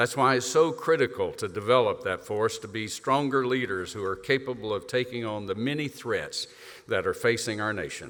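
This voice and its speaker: A man speaks at a moderate pace with a Southern US accent. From US South. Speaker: retired air force leader, event host. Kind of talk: keynote introduction speech. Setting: stage with audience.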